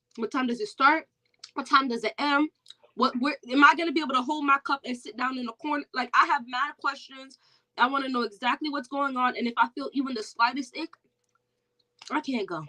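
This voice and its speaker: A woman's raised, projected voice, high-pitched, bright and sharp, at a fairly quick pace, with a dry, close sound and no echo. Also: ordinary pitch variation, big swings in loudness. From Jamaica. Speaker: perfume content creator. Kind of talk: casual chat. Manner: loud.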